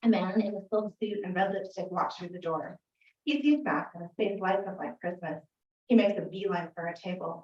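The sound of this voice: Set against a quiet background, an unforced reading voice moves with ordinary pitch variation.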